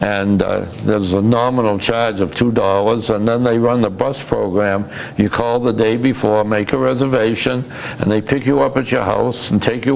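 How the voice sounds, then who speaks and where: With a Massachusetts accent, a man speaks at a moderate pace in a medium pitch with fairly even intonation, over noticeable background noise. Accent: New England (Massachusetts). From Massachusetts, Fitchburg. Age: 80s+. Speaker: retired businessman and community volunteer. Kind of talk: interview. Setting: TV studio. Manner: halting, repeats words.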